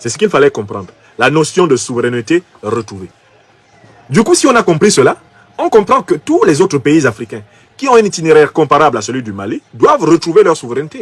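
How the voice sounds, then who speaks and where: Fairly quick speech from a man with a fairly high pitch, very wide pitch swings, and long, frequent pauses. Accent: Cameroonian. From Cameroon. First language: Bassa (speaking French). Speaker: political commentator. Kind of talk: political commentary. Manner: emphatic.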